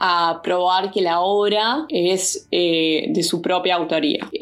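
This is a woman speaking. Her pitch is medium. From Uruguay. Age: 20s. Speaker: arts association founder and visual artist. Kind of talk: interview. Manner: hesitant fillers.

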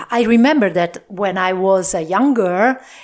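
With an Italian accent, a woman speaks at medium pitch with ordinary pitch variation. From Italy (Po Valley, northern Italy). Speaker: podcast host, Italian language teacher. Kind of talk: casual monologue recap for learners. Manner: halting, frequent fillers.

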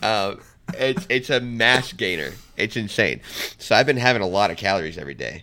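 Speaking at a fairly quick pace, a man with a fairly low voice has a bright, sharp tone and vocal fry. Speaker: podcast co-host. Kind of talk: casual chat.

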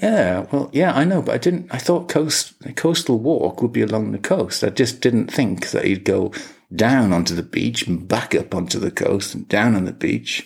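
A man with an English accent at a moderate pace. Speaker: podcast co-host. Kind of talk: casual chat.

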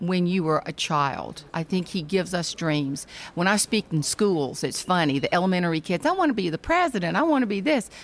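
A woman speaks with a Southern US accent. Her fairly quick delivery has hardly any pauses. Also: fairly low pitch for a woman, lively intonation. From Charleston, South Carolina. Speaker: author and speaker. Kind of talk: casual interview chat. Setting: convention hall recording.

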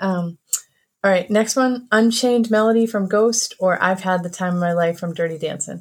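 A woman speaks at a moderate pace with a medium-pitched voice. Her pitch varies in an ordinary way, and it is an ordinary speaking voice. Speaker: recurring segment presenter. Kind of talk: casual chat.

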